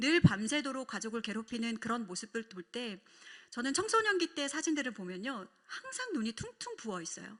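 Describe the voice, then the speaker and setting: With lively intonation and big swings in loudness, a woman speaks in a high-pitched voice. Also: moderate pace. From South Korea, Busan. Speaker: pastor's wife giving a talk on family worship. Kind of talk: testimony lecture.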